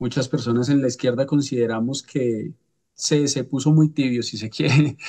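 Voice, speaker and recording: Fairly slow delivery in a dark, mellow tone, the intonation fairly even. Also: man. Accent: Colombian. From Colombia. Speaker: political scientist, seminar participant. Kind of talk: seminar introduction. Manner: hesitant, many fillers.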